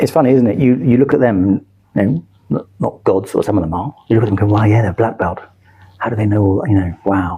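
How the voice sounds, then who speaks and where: Someone with a London accent speaks at a very fast pace. The pitch varies in an ordinary way. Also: man, fairly low pitch for a man. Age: 60s. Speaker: martial arts coach. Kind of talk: podcast interview. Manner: hesitant, repeats words.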